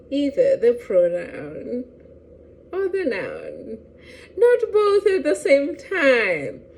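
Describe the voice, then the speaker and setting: A woman speaks at an extremely high pitch and a very slow pace, her pitch swinging very widely, with long, frequent pauses and noticeable background noise. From Lesotho. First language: Sesotho. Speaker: language teacher. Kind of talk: educational talk to camera.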